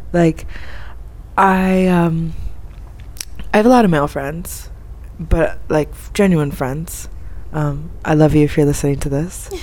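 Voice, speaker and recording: Pitched very deep and low, a woman speaks at a fairly slow pace with ordinary pitch variation and long, frequent pauses, and the room echo is audible. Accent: American. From Florida. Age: 20s. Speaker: expat interviewee. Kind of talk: casual interview. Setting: in person, Cairo.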